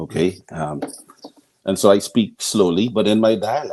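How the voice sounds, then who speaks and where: A man with a Bahamian accent talks at a moderate pace in a dark, mellow tone. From Bahamas, Nassau. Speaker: scientist. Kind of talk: radio interview.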